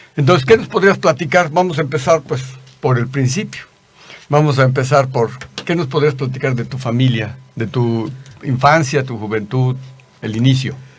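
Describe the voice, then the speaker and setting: There is noticeable background noise as a man of medium pitch talks at a moderate pace with ordinary pitch variation. His speech has long, frequent pauses. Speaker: gynecologist and YouTube host. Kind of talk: interview.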